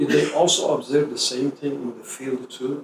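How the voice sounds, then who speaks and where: An ordinary speaking voice at a moderate pace with fairly even intonation. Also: man. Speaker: interviewer, bridge engineer. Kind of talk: interview questions.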